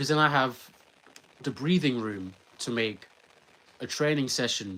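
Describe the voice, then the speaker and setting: A man with a London accent talks at a medium pitch with lively intonation. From England. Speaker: sprinter vlogger. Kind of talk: casual vlog talk.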